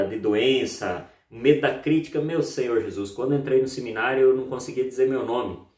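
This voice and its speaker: A man speaks at a moderate pace in a dark, mellow tone with ordinary pitch variation. Audible room echo surrounds the voice. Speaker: EFT therapist and YouTuber. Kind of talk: self-help tutorial. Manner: playful, upbeat today.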